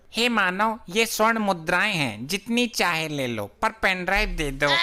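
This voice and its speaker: This is a put-on character voice that sounds female. It sits at a middle pitch and moves at a moderate pace. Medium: fan dub. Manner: exasperated, bossy.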